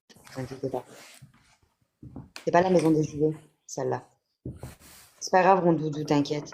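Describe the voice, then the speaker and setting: Long pauses show up frequently. Between them, the pace is moderate. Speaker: livestream host reading chat. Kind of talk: live stream chat with viewers. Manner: whispering at times.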